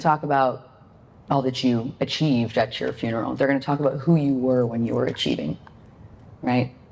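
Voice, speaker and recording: The voice has a dark, mellow tone with vocal fry. Its pace is moderate. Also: woman. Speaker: motivational speaker. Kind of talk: motivational talk. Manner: animated.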